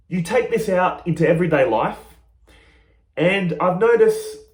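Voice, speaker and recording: A loud, shouting man with a high pitch, ordinary pitch variation and an animated, excited tone. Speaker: spiritual teacher vlogger. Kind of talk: casual monologue. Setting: small room. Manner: loud, yelling.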